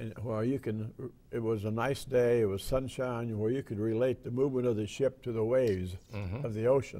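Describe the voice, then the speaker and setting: A man with an American accent speaks at a medium pitch in a dark, mellow tone. His intonation stays fairly even, and he hardly pauses at all. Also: moderate pace. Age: 90s. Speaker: World War II veteran. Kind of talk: interview answer.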